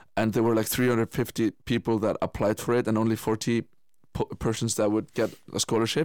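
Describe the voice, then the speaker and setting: Fairly quick speech in an Icelandic accent, monotone and flat, at very even loudness, in a very clean recording with a silent background. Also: man, medium pitch for a man. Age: 20s. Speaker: musician and Paralympic swimmer. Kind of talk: radio interview.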